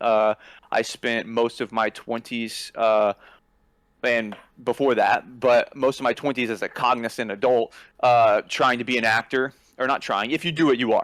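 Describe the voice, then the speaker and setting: Recorded very clean with a silent background and a dry, close sound with no echo, a man talks in a normal speaking voice at a moderate pace, medium pitch, and fairly even intonation. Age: 30s. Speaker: screenwriter and videographer. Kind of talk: casual chat.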